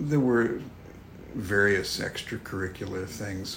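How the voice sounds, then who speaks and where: Noticeable background noise and audible room echo surround the recording. A man with an American accent talks at a fairly slow pace and a fairly low pitch. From New York City. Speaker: art director and author. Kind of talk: casual chat. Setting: office.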